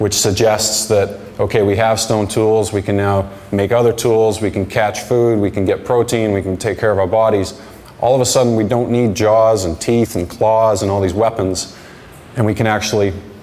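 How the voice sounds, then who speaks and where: Over noticeable background noise and audible room echo, a man with a fairly low pitch speaks at a moderate pace in a monotone, flat intonation. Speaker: conference speaker, digital marketing strategist. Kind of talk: conference talk. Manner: halting, repeats words.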